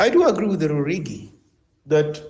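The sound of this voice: A man's fairly high, slightly mellow voice with big pitch swings at a fairly quick pace, with audible room echo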